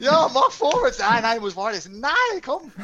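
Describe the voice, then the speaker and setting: A man with a Canadian accent speaks using ordinary pitch variation. The background is quiet. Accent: Canadian accent in Swiss German. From Canada. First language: English (speaking German). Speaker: ice hockey coach and former player. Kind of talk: casual interview. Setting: video call.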